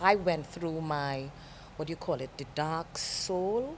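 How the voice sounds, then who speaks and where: A woman's very deep, low voice with a Caribbean accent, a calm tone, ordinary pitch variation and a fairly slow pace. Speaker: TV presenter. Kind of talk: interview.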